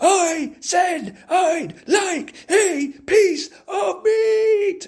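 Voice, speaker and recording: A man bellows in a put-on character voice, squeaky and extremely high in pitch. He speaks at a very slow pace. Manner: roaring loudly.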